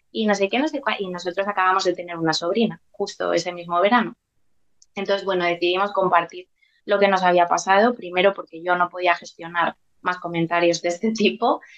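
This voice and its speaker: A woman talks in an unremarkable speaking voice at a medium pitch. Her pace is fairly quick and her intonation fairly even. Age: 30s. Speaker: preschool teacher and mother. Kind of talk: personal testimony interview.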